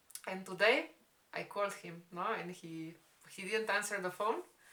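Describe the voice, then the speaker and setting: A woman talks at a moderate pace with ordinary pitch variation. Background noise is noticeable. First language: Spanish. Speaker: vlogger. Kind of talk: casual storytime chat. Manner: halting.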